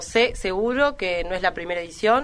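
A woman's ordinary speaking voice at a medium pitch. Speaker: rapper. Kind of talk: interview chat.

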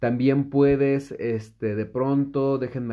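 A man is talking. His voice rests at a medium pitch. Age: 30s. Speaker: podcast host. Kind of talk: solo podcast monologue. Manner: casual, with many fillers.

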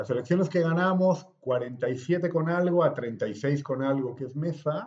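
At a very slow pace and with hardly any pauses, a man with a fairly high pitch sounds somewhat breathy, his pitch varying in an ordinary way. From Bolivia, La Paz. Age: 40s. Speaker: politician. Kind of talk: interview.

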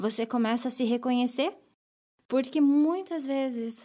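The woman's voice is high-pitched, with a dark, mellow tone. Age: 30s. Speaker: bank branch manager. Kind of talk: interview testimony. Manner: hesitant, many fillers.

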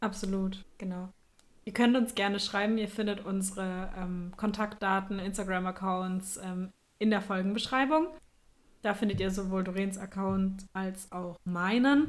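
A woman at medium pitch with an unremarkable speaking voice, fairly even intonation and a fairly slow pace. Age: 20s. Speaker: podcast host, astrologer. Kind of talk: casual chat.

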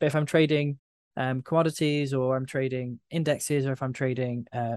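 A man speaks in an ordinary speaking voice at a medium pitch, with normal rise and fall and a dry, close sound free of echo. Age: 30s. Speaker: trading educator. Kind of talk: interview.

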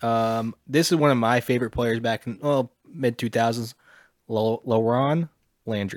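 In a very clean recording with a silent background and a dry, close sound with no echo, a man with a plain, everyday voice speaks fairly slowly at a medium pitch with fairly even intonation. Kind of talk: mock game-show host patter, casual banter.

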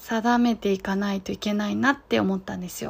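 A woman's voice with ordinary pitch variation. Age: 30s. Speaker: podcast host, guesthouse owner. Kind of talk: solo casual monologue. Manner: hesitant, many fillers.

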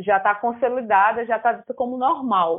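The pace here is moderate, with ordinary pitch variation. It is a normal speaking voice. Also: woman. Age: 20s. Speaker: artist and theatre student. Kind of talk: casual chat.

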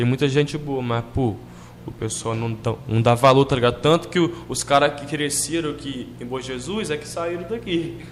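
Amid noticeable background noise, a man speaks at a fairly slow pace with ordinary pitch variation. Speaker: rapper. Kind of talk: casual chat.

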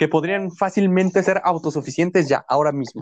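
A man speaks in a high pitch. The sound is dry and close with no echo. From Mexico. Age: 20s. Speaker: university student, podcast co-host. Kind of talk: casual chat.

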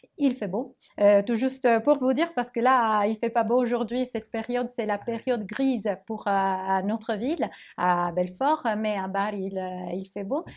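A woman with a plain, everyday voice, fairly high in pitch, at a fairly slow pace with ordinary pitch variation, in a very clean recording with a silent background. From Italy. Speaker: language teacher. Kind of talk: interview.

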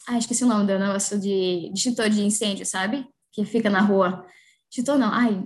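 A woman talks at a fairly quick pace and a medium pitch, somewhat breathy, with fairly even intonation. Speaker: physical education professional. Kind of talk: casual interview.

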